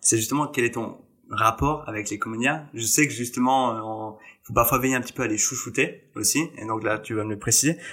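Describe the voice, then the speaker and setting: Here a man talks in an unremarkable speaking voice at medium pitch. His pace is fairly quick and his intonation fairly even. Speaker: podcast host. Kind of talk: casual interview chat.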